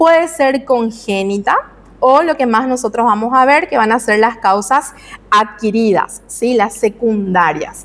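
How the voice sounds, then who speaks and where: An unremarkable speaking voice, a woman's is fairly high in pitch, with ordinary pitch variation and a fairly slow pace. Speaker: medical lecturer. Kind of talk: lecture.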